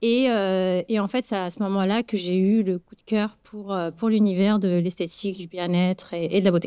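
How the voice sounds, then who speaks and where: On a very clean recording with a silent background, a woman speaks at a moderate pace and medium pitch in a dark, mellow tone, with fairly even intonation and hardly any pauses. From Morocco. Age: 30s. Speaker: beauty business founder. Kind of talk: interview. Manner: hesitant, many fillers.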